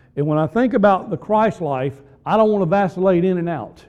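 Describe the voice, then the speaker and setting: Moderate tempo and a dark, mellow tone, plus ordinary pitch variation. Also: man. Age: 50s. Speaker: pastor. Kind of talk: sermon.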